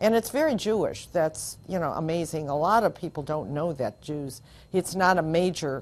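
A woman with an American accent speaks in a very deep, low pitch at a fairly slow pace. Her intonation is lively. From US Midwest, Upper Peninsula of Michigan. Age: 70s. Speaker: rabbi's wife sharing life story. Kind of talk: oral history interview. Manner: reflective, with frequent hesitations. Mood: reflective, warm, candid. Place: studio. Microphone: lapel.

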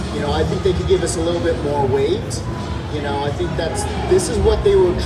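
A man talks over loud background noise. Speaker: guest. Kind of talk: Q&A panel answer. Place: hall. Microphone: pa.

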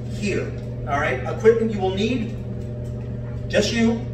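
Noticeable noise sits in the background. A man is the one talking. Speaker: fitness instructor. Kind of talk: workout tutorial. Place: home room. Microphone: camera far.

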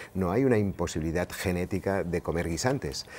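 This man's voice sits very deep and low, with ordinary pitch variation. Light background noise can be heard. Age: 60s. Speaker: pediatrician and sleep specialist; interviewee. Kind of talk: interview. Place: studio. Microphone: lapel.

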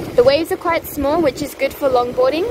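The sound is dry, with no echo. Noticeable background noise runs underneath. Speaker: travel vlogger. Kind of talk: casual vlog chat. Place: waterside. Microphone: phone near.

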